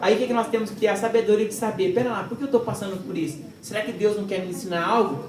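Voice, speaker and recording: Someone speaks at a fairly quick pace in an animated tone, with noticeable background noise behind them. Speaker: preacher. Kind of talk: sermon. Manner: fast.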